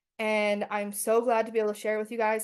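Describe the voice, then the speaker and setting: A woman speaks very fast at a medium pitch. The background is quiet. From Canada, First Nations reservation. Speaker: doctoral student researcher. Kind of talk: presentation.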